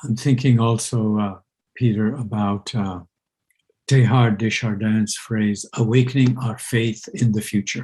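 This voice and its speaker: The voice has a Pakistani accent and a dark, mellow tone that is somewhat breathy. It moves at a fairly slow pace with fairly even intonation. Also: man, medium pitch for a man. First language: Urdu. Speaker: university president and interviewer. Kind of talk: conversational dialogue. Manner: hesitant, with frequent fillers.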